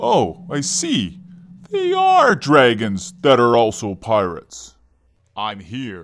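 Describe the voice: This cartoonish character voice moves at a very slow pace. Its pitch swings very widely. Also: man, medium pitch for a man.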